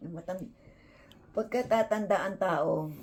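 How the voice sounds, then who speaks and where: The woman's medium-pitched voice moves fairly slowly and shows ordinary pitch variation. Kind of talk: casual chat. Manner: sounds angry when speaking.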